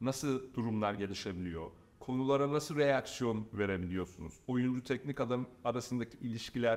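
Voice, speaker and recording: A man's medium-pitched, lively voice at a moderate pace on a very clean recording with a silent background. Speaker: football coach and pundit. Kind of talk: casual interview chat.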